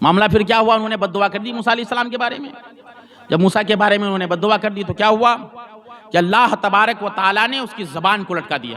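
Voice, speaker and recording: The voice is raised and projected, with ordinary pitch variation. Noticeable background noise runs underneath. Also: man, high pitch for a man. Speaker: Islamic scholar giving a Quran lesson. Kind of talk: religious sermon, weekly Quran lesson. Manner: preaching, storytelling, emphatic.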